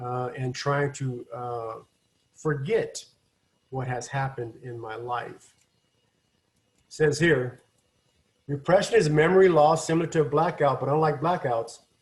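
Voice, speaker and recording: A man with an American accent talks at a fairly slow pace, leaving long, frequent pauses. His voice is fairly high, somewhat breathy, and has ordinary pitch variation. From Washington state, US. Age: 60s. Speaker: addiction recovery counselor. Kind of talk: online lecture. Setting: video call. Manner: halting.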